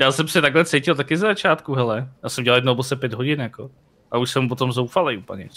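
A man talking at a very fast pace, bright and sharp in tone, with ordinary pitch variation over a quiet background. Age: 30s. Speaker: streamer. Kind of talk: casual chat. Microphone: headset.

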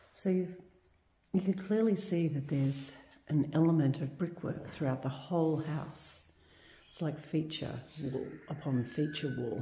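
In a room with audible echo and light background noise, a woman with a very deep, low voice and a dark, mellow tone talks at a fairly slow pace, somewhat breathy, with ordinary pitch variation and long, frequent pauses. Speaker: urban explorer vlogger. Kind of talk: casual vlog commentary. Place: empty room. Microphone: phone near.

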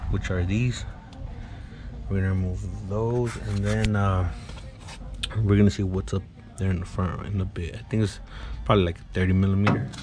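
Noticeable background noise behind a man's moderately paced, fairly low voice. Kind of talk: tutorial. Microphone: phone near.

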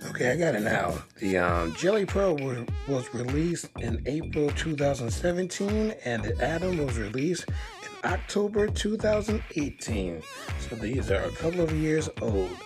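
Clear music plays in the background. The speech moves at a fairly slow pace. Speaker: tech reviewer. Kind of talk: casual product review. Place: home room. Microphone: phone near.

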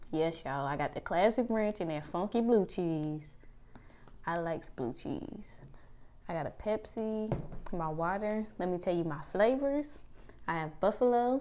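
A woman talks at a moderate pace with very wide pitch swings. Long, frequent pauses break her speech, and there is light background noise. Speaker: food vlogger. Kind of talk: casual vlog chat. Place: home room. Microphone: lapel.

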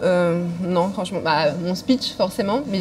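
A woman's medium-pitched voice with a slightly mellow tone and ordinary pitch variation

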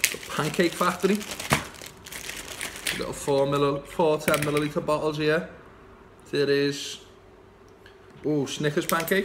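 A man speaks in a fairly high voice with a Liverpool accent and fairly even intonation. Long, frequent pauses break his speech over noticeable background noise. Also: fairly slow pace. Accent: Scouse. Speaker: vape shop owner and vape reviewer. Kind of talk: casual unboxing talk to camera. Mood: relaxed, chatty. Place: shop. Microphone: phone near.

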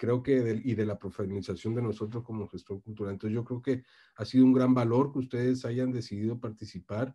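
The setting is quiet. Against it, a man talks very fast. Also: fairly even intonation. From Tabasco, Mexico. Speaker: university professor and researcher; university professor. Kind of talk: summary report in online session. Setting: video call from Barcelona. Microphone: video call.

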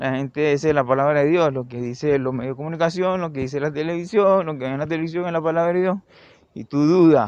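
At a moderate pace and a fairly high pitch, a man speaks in a plain, everyday voice with ordinary pitch variation. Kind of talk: improvised opinion monologue.

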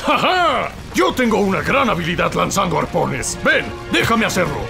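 With loud music in the background, a man puts on a character voice and speaks at a moderate pace. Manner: dramatic, overeager.

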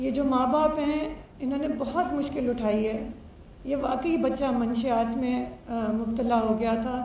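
A woman speaks slowly-ish in a high pitch with fairly even intonation. The room echoes audibly, and light background noise is present. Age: 50s. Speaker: family friend of accused's parents. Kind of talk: press conference statement. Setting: press conference. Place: hall. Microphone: podium.

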